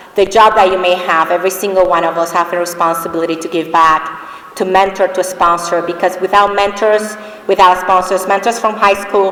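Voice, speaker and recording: Over noticeable background noise, a woman with a Spanish accent talks at a medium pitch and a fairly quick pace, her intonation fairly even. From Dominican Republic. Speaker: award recipient, finance executive. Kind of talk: award acceptance speech.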